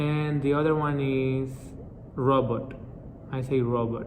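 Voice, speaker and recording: A man's medium-pitched voice in a Spanish accent, with fairly even intonation. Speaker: multilingual vlogger. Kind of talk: casual talk to camera.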